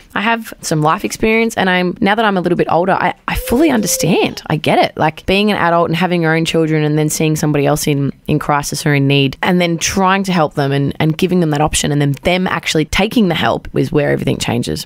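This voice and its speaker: With an Australian accent, a woman with a fairly low pitch and ordinary pitch variation talks at a very fast pace with hardly any pauses, over noticeable background noise. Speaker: community event organiser. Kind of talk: radio interview. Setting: studio.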